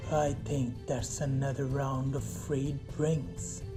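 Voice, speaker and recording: A put-on character voice speaks at a very slow pace with low-to-middle pitch. Loud music plays in the background. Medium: read story. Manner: drunk, belligerent.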